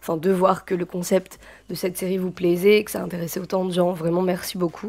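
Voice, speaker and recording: Her tone dark and mellow, a woman speaks at a medium pitch and a fairly quick pace. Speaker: YouTuber teaching Korean culture. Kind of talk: casual vlog talk. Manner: hesitant, many fillers.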